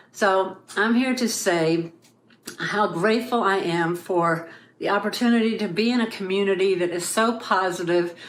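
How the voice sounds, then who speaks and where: An ordinary speaking voice with fairly even intonation at a moderate pace. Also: woman, medium pitch for a woman. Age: 60s. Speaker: artist sharing testimony. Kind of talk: testimony.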